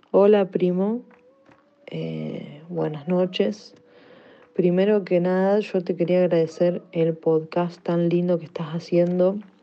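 Speaking at a very slow pace, a woman with a fairly low pitch keeps her intonation fairly even. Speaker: listener sending voice message. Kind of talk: voice message.

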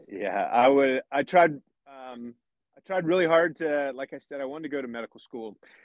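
A man speaks with an American accent, an ordinary speaking voice, and a fairly high pitch. His pitch varies in an ordinary way at a moderate pace. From rural Pennsylvania, near Lancaster. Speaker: fighter pilot. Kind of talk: interview conversation.

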